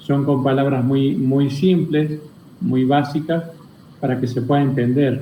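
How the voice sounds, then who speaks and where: A man with a fairly high pitch and a dark, mellow tone, somewhat breathy, with audible room echo. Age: 60s. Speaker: spiritual teacher. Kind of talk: interview.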